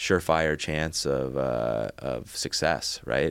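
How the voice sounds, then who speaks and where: A man with vocal fry and ordinary pitch variation on a very clean recording with a silent background. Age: 30s. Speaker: entrepreneur and investor. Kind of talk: casual interview.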